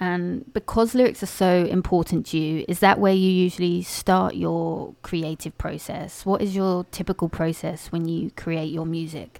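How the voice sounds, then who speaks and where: On a very clean recording with a silent background, a woman with a normal speaking voice and fairly low pitch talks at a moderate pace with fairly even intonation and hardly any pauses. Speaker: podcast host. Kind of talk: interview.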